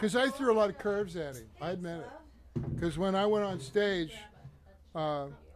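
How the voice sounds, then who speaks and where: At a moderate pace, a man with a high pitch makes very wide pitch swings, with audible room echo and noticeable background noise. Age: 60s. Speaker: drummer. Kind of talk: casual chat. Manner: halting.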